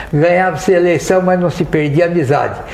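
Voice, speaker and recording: Amid noticeable background noise and audible room echo, a man talks at a high pitch with fairly even intonation. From Brazil, São José do Rio Preto (São Paulo interior). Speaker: dentist, former association president. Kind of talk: podcast interview, reminiscing. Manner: halting, with hesitations.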